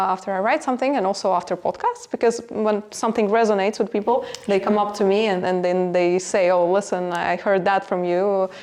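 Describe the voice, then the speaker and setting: A woman's medium-pitched voice with a non-native accent, fairly quick, fairly even intonation and very even loudness. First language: not English. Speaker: business executive. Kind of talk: podcast interview. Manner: halting, many fillers.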